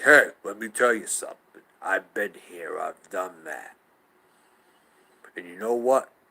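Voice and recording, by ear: A man puts on a character voice at a fairly slow pace. He takes long, frequent pauses.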